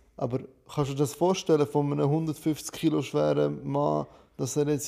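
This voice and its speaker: This man speaks at a fairly slow pace with a non-native accent. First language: not German (speaking German). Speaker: podcast co-host. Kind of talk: casual chat.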